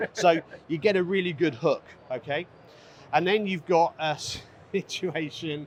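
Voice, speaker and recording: Pausing long and often, a man with a British accent speaks in a high voice with ordinary pitch variation. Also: fairly slow pace. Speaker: cigar company owner. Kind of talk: interview at trade show booth.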